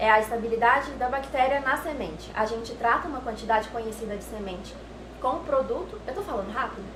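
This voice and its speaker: A high-pitched woman's voice at a very fast pace, ordinary pitch variation, audible room echo and noticeable background noise. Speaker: lab technician explaining products. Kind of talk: explanatory tour talk. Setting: laboratory. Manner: hesitant with fillers.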